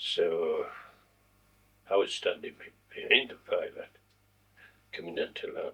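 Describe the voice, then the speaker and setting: A man speaks in a raised, projected voice at an extremely high pitch, with a Scottish Highland accent and flat, monotone intonation. His pace is fairly slow, with long, frequent pauses. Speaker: war veteran. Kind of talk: interview answer.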